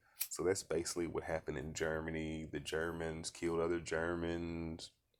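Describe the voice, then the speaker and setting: A man's very deep, low voice at a moderate pace. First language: not English. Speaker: vlogger. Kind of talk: casual monologue. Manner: casual, swearing, halting with repetitions.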